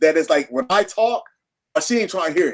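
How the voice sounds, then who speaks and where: A loud man talks in an animated tone, his pitch swinging very widely. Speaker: minister. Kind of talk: casual chat.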